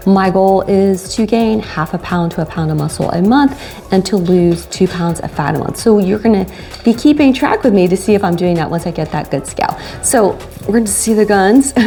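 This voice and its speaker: At a fairly quick pace, a woman talks at a medium pitch. Her pitch varies in an ordinary way, with music playing in the background. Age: 50s. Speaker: fitness vlogger. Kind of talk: casual talk to camera.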